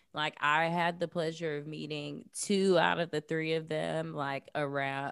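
A woman with an American accent and a very deep, low pitch speaks with fairly even intonation and hardly any pauses, in a very clean recording with a silent background. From US South, Jacksonville, Florida. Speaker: artist, activist and podcast host. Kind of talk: casual interview chat. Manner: casual, many fillers like 'like' and 'um'.

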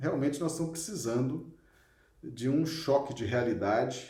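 A somewhat breathy, dark and mellow tone at a fairly slow pace, with audible room echo. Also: man. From Minas Gerais, Brazil (Belo Horizonte). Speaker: spiritist study leader. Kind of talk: online lecture / religious study.

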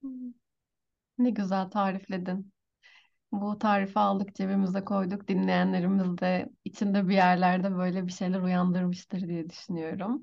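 Over a quiet background, a woman speaks at medium pitch in a somewhat breathy voice, with fairly even intonation and a fairly slow pace. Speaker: podcast host. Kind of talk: interview.

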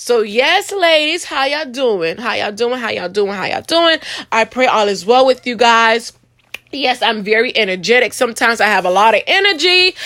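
A woman speaks in a fairly high, bright, sharp voice with an animated tone. Her fairly quick speech shows very wide pitch swings. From Haiti. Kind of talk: motivational faith podcast monologue. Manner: animated, repetitive exclamations.

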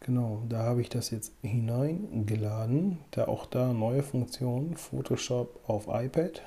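A man with a dark, mellow, somewhat breathy tone speaks at medium pitch and a fairly slow pace, with ordinary pitch variation and hardly any pauses. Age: 20s. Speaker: photography podcast co-host. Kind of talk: casual chat.

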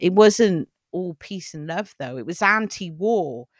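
A woman with a southern English accent speaks at a fairly slow pace in a very clean recording with a silent background and a dry, close sound with no echo. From England, Cheltenham. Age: 40s. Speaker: podcast co-host and film writer. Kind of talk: casual chat.

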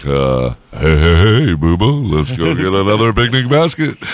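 Putting on a character voice, a man speaks at a fairly slow pace and a fairly low pitch with very wide pitch swings. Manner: friendly, cheerful.

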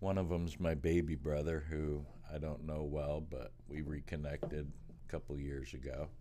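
In an American accent, a man speaks at a moderate pace with a very deep, low pitch and monotone, flat intonation, with audible room echo. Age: 50s. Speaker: podcast co-host, storytelling father. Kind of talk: casual chat. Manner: laughing often.

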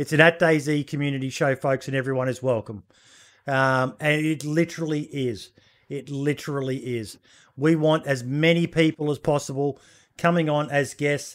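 A man with an Australian accent speaks at a moderate pace and a fairly high pitch. The recording is very clean, with a silent background. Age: 40s. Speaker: podcast host. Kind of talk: casual chat. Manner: animated.

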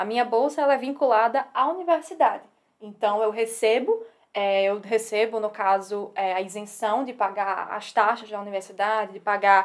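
A woman speaks with a strong northeastern Brazilian accent. Her voice is fairly high-pitched. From Northeast Brazil, Natal. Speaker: civil engineering PhD student. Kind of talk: casual interview chat. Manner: fast.

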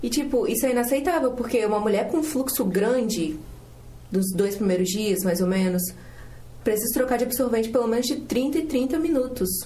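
Amid noticeable background noise and audible room echo, a high-pitched woman speaks at a moderate pace with lively intonation and very even loudness. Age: 20s. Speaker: student podcast co-host. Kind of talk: casual chat.

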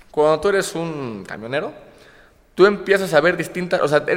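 A man speaks with typical pitch variation as clear background noise carries on behind him. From Córdoba, Veracruz, Mexico. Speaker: comedian and content creator. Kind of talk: casual chat.

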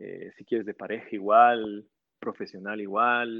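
Monotone and flat in intonation, a man speaks at a fairly low pitch and a very slow pace. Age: 30s. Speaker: university program director and engineer. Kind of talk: casual interview. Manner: halting, with frequent repetitions.

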